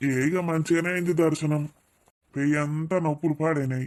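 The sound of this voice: A cartoonish character voice with monotone, flat intonation. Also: man, fairly high pitch for a man, moderate pace.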